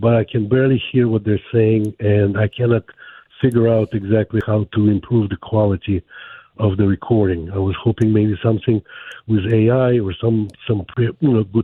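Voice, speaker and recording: A man's fairly low voice with a Ukrainian accent, moderate pace and fairly even intonation. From Ukraine. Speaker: caller. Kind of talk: call-in question on a radio show.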